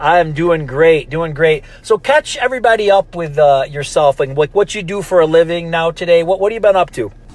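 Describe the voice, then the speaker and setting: A high-pitched man at a fairly quick pace with hardly any pauses and ordinary pitch variation, over noticeable background noise. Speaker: podcast host. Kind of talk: podcast interview questions.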